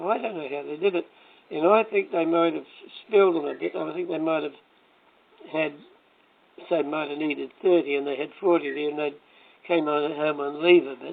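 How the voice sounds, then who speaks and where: A man speaking at a moderate pace with long, frequent pauses over noticeable background noise. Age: old. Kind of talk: casual reminiscing conversation.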